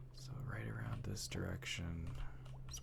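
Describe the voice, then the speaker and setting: Over noticeable background noise, a soft-spoken man talks very slowly in a relaxed tone, his very deep, low pitch swinging very widely. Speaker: Minecraft ASMR content creator. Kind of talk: soft-spoken ASMR gameplay narration. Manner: soft-spoken, slow, relaxed.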